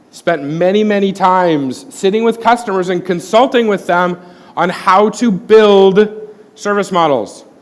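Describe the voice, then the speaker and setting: Noticeable background noise sits under a man's voice. He talks fairly slowly with an American accent at a high pitch. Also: ordinary pitch variation. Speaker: corporate IT presenter. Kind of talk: conference talk.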